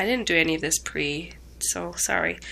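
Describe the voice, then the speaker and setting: A woman's shaky voice comes through over noticeable background noise. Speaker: vlogger. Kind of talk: casual video diary. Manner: hesitant, many fillers.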